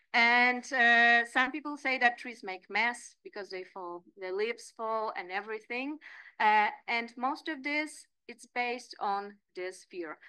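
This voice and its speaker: A woman with a Polish accent speaks at a fairly slow pace in a fairly high, bright, sharp voice, using lively intonation and big swings in loudness against a quiet background. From Poland. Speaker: landscape architect and lecturer; lecturer. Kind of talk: lecture. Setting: seminar room. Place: meeting room. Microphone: podium.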